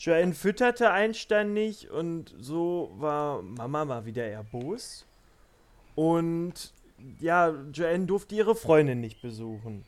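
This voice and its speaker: Very slow, high-pitched male speech with very wide swings in pitch. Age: 20s. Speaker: podcast guest, hosts' brother. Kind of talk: casual chat.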